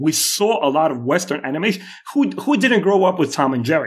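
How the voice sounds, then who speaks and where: The man speaks at a fairly high pitch. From Moldova (Soviet Union), Russian-speaking. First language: Russian. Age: 40s. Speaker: YouTube creator and animator. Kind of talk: casual interview chat. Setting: remote call. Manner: halting.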